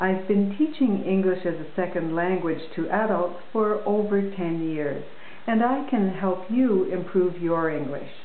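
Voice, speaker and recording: A woman at a fairly slow pace with ordinary pitch variation, audible room echo and light background noise. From Canada. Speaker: English teacher. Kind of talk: promotional talk to camera. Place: home room. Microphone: webcam.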